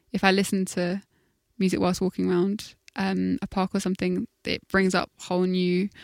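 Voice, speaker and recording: In a London accent, a woman speaks at a moderate pace, with a dry, close sound, no echo, and a very clean recording with a silent background. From South London. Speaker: musician. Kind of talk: interview. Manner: halting, many fillers.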